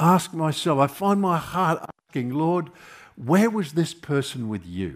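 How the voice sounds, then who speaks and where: A man with an Australian accent speaks at a fairly slow pace with very wide pitch swings, on a very clean recording with a silent background. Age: 70s. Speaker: preacher. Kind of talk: sermon. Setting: church.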